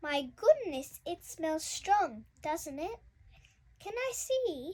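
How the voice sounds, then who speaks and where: A woman's squeaky, put-on character voice, extremely high-pitched, very slow, with very wide pitch swings and big swings in loudness. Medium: read story.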